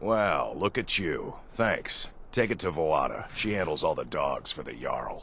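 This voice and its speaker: A man puts on a character voice and talks fairly slowly with hardly any pauses, with clear background noise behind him. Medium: video game. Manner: cheerful, salesy.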